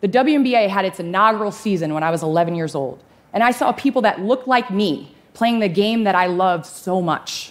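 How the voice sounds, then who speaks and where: A woman speaks with lively intonation at a moderate pace. She leaves hardly any pauses. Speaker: conference speaker. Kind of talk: public talk, personal story. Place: stage.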